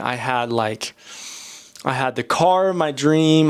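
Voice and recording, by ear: A man's clear, smooth tone at medium pitch, slow in pace, with lively intonation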